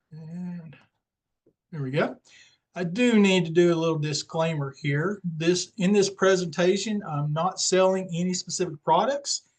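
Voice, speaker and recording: A man speaks at a fairly slow pace in a high voice. His pitch varies in an ordinary way. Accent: slight Southern US. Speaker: independent Medicare insurance agent. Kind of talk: webinar presentation. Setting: online webinar with screen share. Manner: casual, with many fillers.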